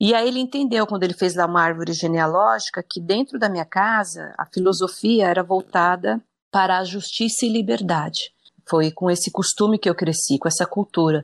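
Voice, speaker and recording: A woman with an unremarkable speaking voice talks at a moderate pace with lively intonation and medium pitch. The sound is dry and close, without echo. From Brazil, São Paulo (early years in Brasília). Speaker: journalist. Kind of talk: interview conversation.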